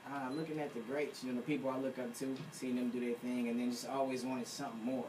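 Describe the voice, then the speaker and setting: Audible room echo surrounds a man talking very fast at a medium pitch in a flat, monotone intonation. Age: young. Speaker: rapper. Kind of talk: radio interview. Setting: radio studio.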